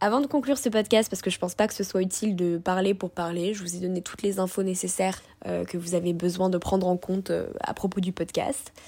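Hardly pausing, a woman with a dark, mellow tone and medium pitch speaks at a fairly quick pace with ordinary pitch variation. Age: 20s. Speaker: podcast host and food content creator. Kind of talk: solo podcast monologue. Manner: animated.

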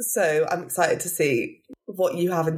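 A woman speaks with a British accent. Her pace is fairly slow. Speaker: podcast host. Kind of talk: casual interview chat.

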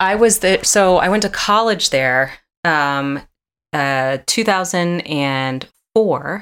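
The speaker has an American accent and talks at a very slow pace. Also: woman. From Atlanta, Georgia (US South). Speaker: actress. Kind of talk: casual interview chat. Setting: video call.

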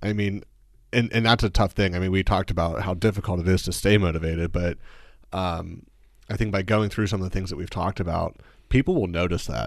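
Delivered at a very fast pace with fairly even intonation, the voice sits on a very clean recording with a silent background. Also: man, very deep, low pitch for a man. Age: 20s. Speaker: videographer and entrepreneur. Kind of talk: casual chat.

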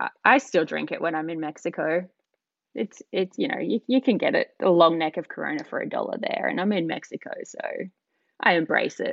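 A woman talks with an Australian accent. Her pace is fairly quick. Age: 30s. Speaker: tattoo artist. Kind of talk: casual chat.

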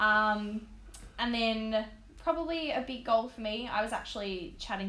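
A woman speaks in an Australian accent. Room echo is audible. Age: 20s. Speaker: personal trainer. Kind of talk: casual chat.

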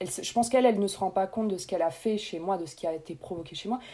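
A woman's fairly low voice, dark and mellow in tone, at a very fast pace. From Réunion. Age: 30s. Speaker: nurse and food blogger. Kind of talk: interview conversation.

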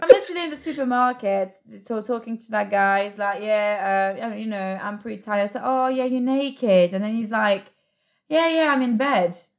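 In a very clean recording with a silent background, a woman with a British accent talks at a fairly quick pace and fairly high pitch, with ordinary pitch variation. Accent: British English, near-native. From France. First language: French. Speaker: podcast guest. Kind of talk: casual chat. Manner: animated.

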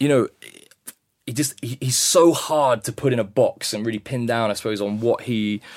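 A man with a British accent keeps his intonation fairly even. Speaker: vicar. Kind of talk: interview answers.

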